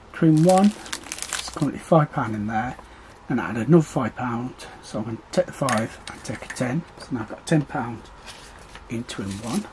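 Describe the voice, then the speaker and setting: A man at a moderate pace, with long, frequent pauses, big swings in loudness and light background noise. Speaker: budgeting vlogger. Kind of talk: tutorial.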